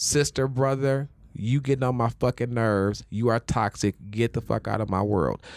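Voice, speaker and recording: Captured in a very clean recording with a silent background and a dry, close sound with no echo, a man speaks in a normal speaking voice at medium pitch with ordinary pitch variation. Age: 20s. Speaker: podcast host. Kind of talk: casual chat.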